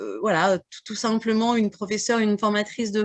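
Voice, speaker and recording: A woman talks at a moderate pace, her voice pitched fairly high. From northern France, Burgundy (Morvan). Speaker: French as a foreign language teacher, audience member. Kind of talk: audience question and testimony. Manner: halting, many hesitations.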